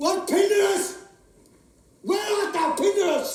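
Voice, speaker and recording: Pitched extremely high, this squeaky put-on character voice moves at a moderate pace with a slight echo. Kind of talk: classical Shakespearean stage acting. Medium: stage play. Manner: impassioned, lyrical.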